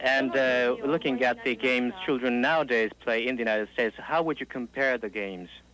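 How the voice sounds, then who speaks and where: Over light background noise, a man with a Japanese accent speaks at a fairly quick pace with hardly any pauses and ordinary pitch variation, in a dry sound with no echo. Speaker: interpreter. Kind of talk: consecutive interpreting. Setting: stage with audience. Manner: halting.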